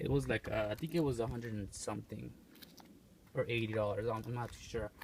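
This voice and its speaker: A man with vocal fry, talking very fast with fairly even intonation. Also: medium pitch for a man. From Mexico. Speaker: car owner video reviewer. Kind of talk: casual walkaround car review. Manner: casual, with frequent hesitations.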